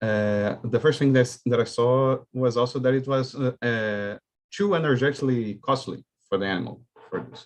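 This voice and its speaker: A man speaks with a Portuguese accent. His pitch is medium and his pace moderate. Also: ordinary pitch variation. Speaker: student. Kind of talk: audience question. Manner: halting.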